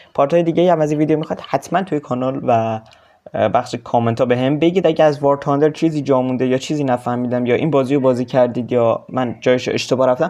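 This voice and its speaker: This man has a dark, mellow tone at medium pitch, talking at a very fast pace with fairly even intonation. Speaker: gaming youtuber. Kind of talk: gameplay outro chat. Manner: casual, informal.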